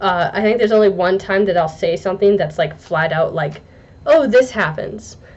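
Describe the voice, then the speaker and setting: Amid noticeable background noise, a woman at medium pitch speaks at a moderate pace with ordinary pitch variation. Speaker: book reviewer. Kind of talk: casual video review. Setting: talking to a camera. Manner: halting.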